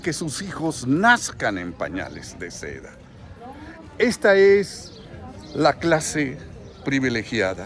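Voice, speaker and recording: Very wide pitch swings mark this voice at a very slow pace. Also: man. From central Mexico, Guanajuato. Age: 60s. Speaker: political commentator vlogger. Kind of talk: vlog monologue. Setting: in a queue at a bank, public place.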